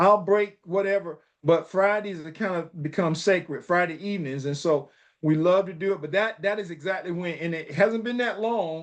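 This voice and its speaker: A man's high-pitched voice moves at a moderate pace with ordinary pitch variation. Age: 60s. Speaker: educator, coach and author. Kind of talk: interview conversation. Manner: halting, many repeated words.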